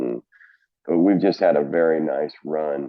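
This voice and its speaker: Speaking at a very slow pace, a man with an American accent has a very deep, low pitch. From Oklahoma. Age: 60s. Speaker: college golf coach. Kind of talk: podcast interview.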